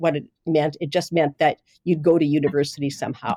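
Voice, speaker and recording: At a moderate pace, a woman talks with a Manitoban accent in a dry, close sound with no echo. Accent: Canadian (Manitoba). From Canada, Winnipeg North End. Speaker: journalist and editor. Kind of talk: interview.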